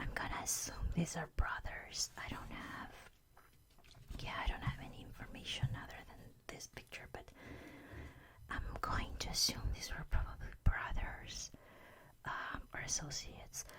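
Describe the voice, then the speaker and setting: Someone whispers, leaving long, frequent pauses. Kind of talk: whispered ASMR show-and-tell. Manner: whispered.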